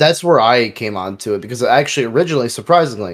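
A man with a plain, everyday voice talks at a fairly quick pace, at medium pitch with ordinary pitch variation. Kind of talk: casual banter podcast chat.

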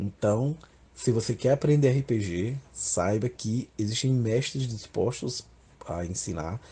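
Against a quiet background, a man with a dark, mellow tone sounds somewhat breathy, with ordinary pitch variation. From Northeast Brazil, Alagoas (Maceió). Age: 30s. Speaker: RPG association president, gamer. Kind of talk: interview monologue.

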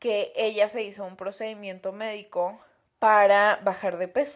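In a Mexican accent, a woman talks at a fairly slow pace with a relaxed tone and fairly high pitch. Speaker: podcast host. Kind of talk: casual solo podcast monologue.

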